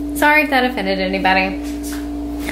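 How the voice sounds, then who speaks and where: A woman speaks at a moderate pace. Music plays in the background. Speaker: vlogger. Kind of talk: casual vlog chat. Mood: apologetic, light laughter. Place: kitchen. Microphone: phone near.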